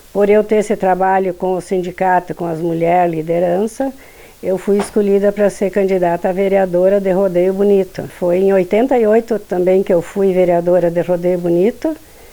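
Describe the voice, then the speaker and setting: A woman speaks with fairly even intonation. Noticeable background noise can be heard. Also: medium pitch for a woman, moderate pace. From Rio Grande do Sul, Brazil. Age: 70s. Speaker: former union leader and councillor. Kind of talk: testimony.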